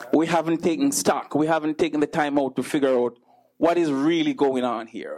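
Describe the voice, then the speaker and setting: A man with an ordinary speaking voice, fairly high pitch, ordinary pitch variation and moderate pace. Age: 40s. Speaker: preacher. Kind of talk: sermon.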